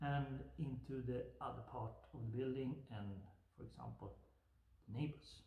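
Speaking at a fairly slow pace, a man is heard with audible room echo around him. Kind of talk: tutorial. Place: workshop. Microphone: camera far.

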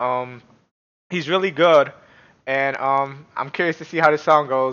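The man talks with fairly even intonation. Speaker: streamer, reaction youtuber. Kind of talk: casual vlog chat. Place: home room.

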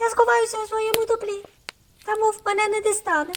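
A female-sounding put-on character voice, extremely high-pitched for a woman, at a fairly quick pace. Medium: read story.

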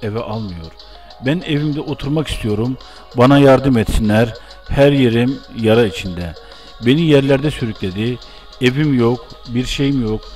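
Over music in the background, a man talks at a moderate pace and a medium pitch with ordinary pitch variation. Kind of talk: news report read aloud.

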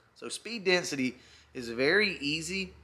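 The man's voice has a bright, sharp tone. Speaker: car enthusiast vlogger. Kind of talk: casual vlog chat. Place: garage. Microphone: phone near.

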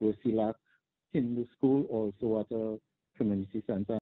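With a Trinidadian accent, a man speaks at a moderate pace in a fairly low voice. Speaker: teachers' union president. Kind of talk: news interview soundbite, explaining school problems. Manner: measured, with filler words and pauses.

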